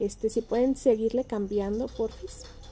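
This woman has a fairly high pitch and a dark, mellow tone, in a Mexican accent. She speaks at a fairly slow pace with monotone, flat intonation. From Mexico, Michoacán (Ciudad Hidalgo). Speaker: human rights activist. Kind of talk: presentation. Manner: hesitant, many fillers.

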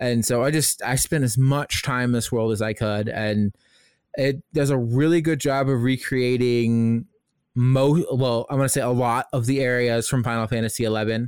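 In a very clean recording with a silent background, a man with an American accent speaks in an unremarkable speaking voice at a medium pitch and a moderate pace, with fairly even intonation and very even loudness. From US Midwest. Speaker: podcast co-host. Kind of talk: casual chat.

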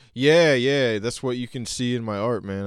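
A man talks at a moderate pace with an American accent, in an ordinary speaking voice with ordinary pitch variation. The recording is very clean, with a silent background. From Oklahoma. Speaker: artist and clothing designer. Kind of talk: casual chat.

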